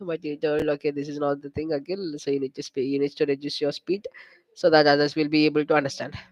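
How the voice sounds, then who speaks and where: A man's fairly high, flat, monotone voice at a very fast pace. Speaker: career guidance YouTuber. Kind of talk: casual live stream chat.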